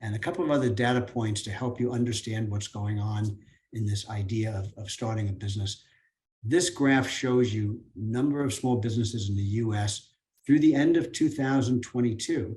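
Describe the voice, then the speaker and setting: Somewhat breathy, a man speaks in a dark, mellow tone. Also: medium pitch for a man, ordinary pitch variation, moderate pace. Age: 70s. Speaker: business speaker, franchise owner. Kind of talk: seminar talk. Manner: halting, with repetitions and fillers.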